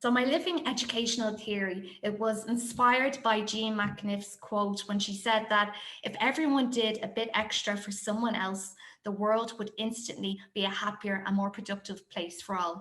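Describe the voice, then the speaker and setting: A woman in a Dublin accent talks at a moderate pace with a fairly high pitch and fairly even intonation, and room echo can be heard. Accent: Irish (Dublin). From Ireland, Dublin. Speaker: primary school teacher. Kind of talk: conference presentation.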